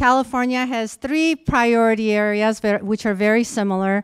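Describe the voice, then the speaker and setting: A woman with an Armenian accent at a fairly slow pace. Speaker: conference speaker. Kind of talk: conference presentation. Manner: halting, many fillers.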